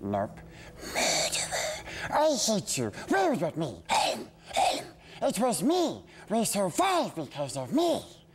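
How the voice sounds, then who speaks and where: A put-on character voice with long, frequent pauses over clear background noise. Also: man, high pitch for a man, fairly slow pace. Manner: hissing, wheedling, agitated.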